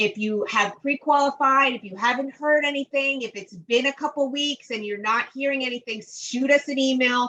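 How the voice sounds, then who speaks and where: With a raised, projected voice and a bright, sharp tone, a woman speaks at a high pitch and a moderate pace, with ordinary pitch variation, big swings in loudness and hardly any pauses. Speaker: webinar host for construction firm. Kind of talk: online webinar Q&A.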